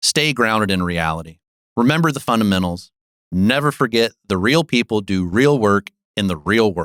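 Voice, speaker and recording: With an American accent, a man uses a plain, everyday voice, fairly low in pitch and lively in intonation, at a moderate pace, in a very clean, silent recording with a dry, close sound and no echo. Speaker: business consultant. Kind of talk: podcast monologue.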